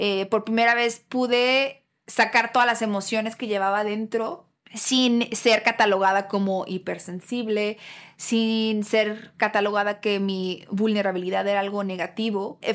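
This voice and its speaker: At a fairly slow pace, a woman with a fairly high pitch speaks in a monotone, flat intonation. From Mexico, Guadalajara. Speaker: podcast host. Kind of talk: personal monologue.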